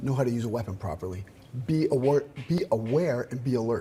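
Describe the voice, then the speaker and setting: A man's medium-pitched voice, dark and mellow in tone, somewhat breathy. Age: 60s. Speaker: martial arts strength coach. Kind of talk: TV interview.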